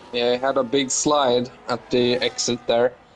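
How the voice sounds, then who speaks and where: A man speaks at a medium pitch in a monotone, flat intonation over noticeable background noise. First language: not English. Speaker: sim racing co-commentator. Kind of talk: live commentary.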